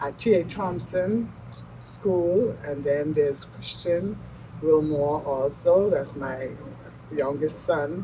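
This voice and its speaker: In a room with audible echo, a woman talks very slowly at a very deep, low pitch. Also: ordinary pitch variation. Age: 70s. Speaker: mother honored at church. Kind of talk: interview testimony.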